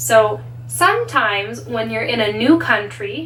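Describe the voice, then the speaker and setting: Speaking at a very slow pace with a Canadian accent, a woman is heard over noticeable background noise and audible room echo. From Canada. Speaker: English teacher. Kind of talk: tutorial.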